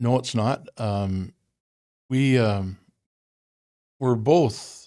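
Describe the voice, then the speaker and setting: A man with an Ontario accent speaks at a very slow pace and medium pitch, his tone dark and mellow. His pitch varies in an ordinary way, on a very clean recording with a silent background. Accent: Canadian (Ontario). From Ontario, Canada. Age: 70s. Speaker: retired truck driver. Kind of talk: casual interview chat. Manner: halting, repeats words.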